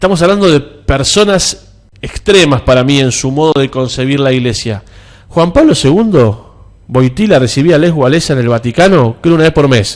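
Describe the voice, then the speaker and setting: A man with a Rioplatense accent, fairly high pitch, lively intonation and a moderate pace. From Argentina. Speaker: church figure. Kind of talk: interview. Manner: animated.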